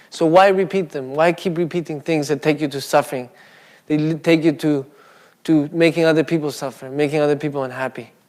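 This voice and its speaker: Speaking at a very fast pace with a non-native accent, a man keeps his intonation fairly even. The recording is very clean, with a silent background. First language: not English. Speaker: Buddhist speaker. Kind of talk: dharma talk. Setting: Buddhist centre with live audience. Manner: casual, conversational.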